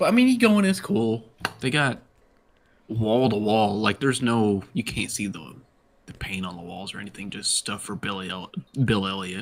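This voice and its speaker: An American accent with ordinary pitch variation. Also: man, fairly low pitch for a man, moderate pace, big swings in loudness. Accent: Southern, usually kept down a little. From US South, Georgia (Dawsonville). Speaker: sim racing driver. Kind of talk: casual chat.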